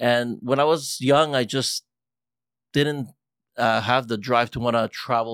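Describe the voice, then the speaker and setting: A man with a normal speaking voice, medium pitch, fairly even intonation and a fairly slow pace, on a very clean recording with a silent background and a dry, close sound with no echo. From grew up locally to 14, then US West Coast. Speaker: musician. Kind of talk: casual chat.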